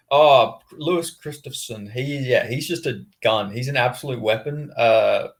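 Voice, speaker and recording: Somewhat breathy, a man with an Australian accent talks at fairly high pitch with ordinary pitch variation and hardly any pauses. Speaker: journalist. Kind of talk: interview. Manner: halting.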